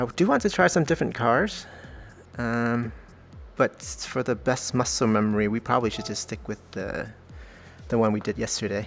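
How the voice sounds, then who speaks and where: A man with a medium-pitched voice speaks at a moderate pace with lively intonation and long, frequent pauses, music playing in the background. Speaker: gaming streamer. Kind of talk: gameplay commentary. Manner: loud; casual with fillers.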